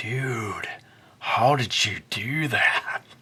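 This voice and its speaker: Pitched low-to-middle, the put-on character voice has a raspy edge. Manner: laid-back surfer drawl.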